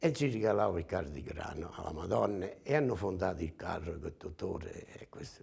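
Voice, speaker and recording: A moderate pace marked by vocal fry and very wide pitch swings. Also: man. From Campania, Irpinia (Mirabella Eclano). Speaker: ox breeder. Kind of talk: interview storytelling. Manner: hesitant, many fillers.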